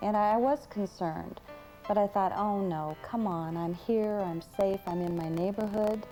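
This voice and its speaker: Music plays in the background as a woman speaks at a fairly slow pace in a medium pitch. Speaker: attack victim giving testimonial. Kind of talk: interview answer, recounting story. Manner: hesitant, halting.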